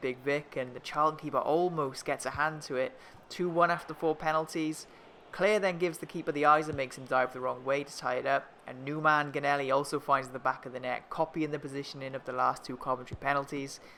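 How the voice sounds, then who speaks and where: This man speaks at a very fast pace with a slight Welsh accent. His bright, sharp tone sits at a fairly high pitch, with fairly even intonation. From Wales. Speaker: gaming YouTuber. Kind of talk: gameplay commentary. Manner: narrating match play-by-play.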